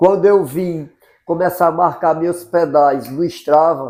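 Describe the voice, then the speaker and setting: Speaking fairly slowly, a man uses a dark, mellow tone and fairly even intonation. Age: 60s. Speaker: amateur cyclist. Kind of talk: documentary interview. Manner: casual.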